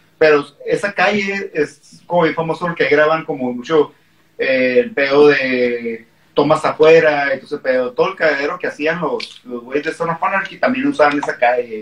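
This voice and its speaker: Lively intonation from a man with a fairly high pitch, at a fairly slow pace. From Mexicali, Mexico. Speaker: punk band member. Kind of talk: casual chat. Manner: loud. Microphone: far from the mic.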